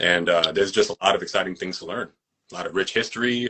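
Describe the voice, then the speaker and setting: A man at a fairly quick pace with a New York accent. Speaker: actor and fight choreographer. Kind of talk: casual interview chat. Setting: social media live video.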